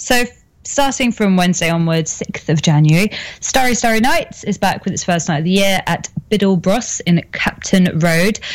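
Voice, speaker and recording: This woman's medium-pitched voice moves at a moderate pace with lively intonation, heard over noticeable background noise. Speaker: co-host.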